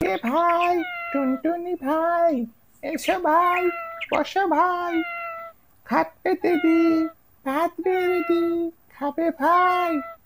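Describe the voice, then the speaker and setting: A cartoonish character voice, squeaky and extremely high-pitched. It drags along at a very slow pace. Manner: drowsy.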